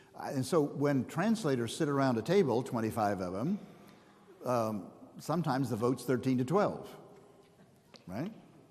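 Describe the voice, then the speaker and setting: There is audible room echo as a man speaks at a fairly quick pace with lively intonation. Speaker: pastor and Bible scholar. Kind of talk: lecture. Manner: animated.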